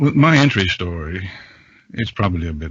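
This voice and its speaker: Somewhat breathy and very deep, a man's low voice moves at a moderate pace. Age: 60s. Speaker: voice narrator with radio and advertising background. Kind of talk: casual podcast chat.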